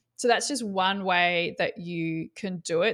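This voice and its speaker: A woman with an Australian accent, medium pitch and ordinary pitch variation, in a very clean recording with a silent background. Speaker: marketing coach. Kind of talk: casual interview chat.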